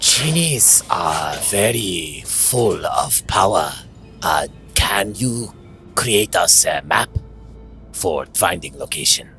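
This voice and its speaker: Delivered in a put-on character voice at a very slow pace, the speech has long, frequent pauses and very even loudness over clear background noise. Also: man, medium pitch for a man. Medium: actual play. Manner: stilted, broken phrasing.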